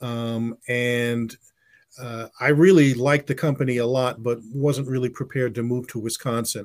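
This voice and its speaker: A man with an American accent speaks at medium pitch with fairly even intonation, in a normal speaking voice. The recording is very clean, with a silent background. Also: moderate pace. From US, West Indian family. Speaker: advertising executive and author. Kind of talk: interview.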